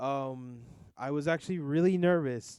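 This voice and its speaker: A man talks at a fairly slow pace in a fairly high voice with a dark, mellow tone. His intonation is fairly even, and the recording is very clean with a silent background. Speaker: YouTube reaction channel creator. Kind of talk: casual solo vlog talk. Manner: loud; halting, many fillers.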